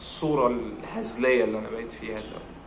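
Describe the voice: A man speaks at a very fast pace with fairly low pitch and little pitch movement. Room echo is audible.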